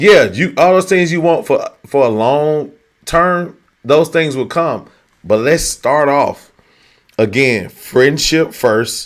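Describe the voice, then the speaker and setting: The pace is very slow. A man with a fairly high pitch speaks with lively intonation. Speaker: dating talk show host. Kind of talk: casual chat. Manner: loud.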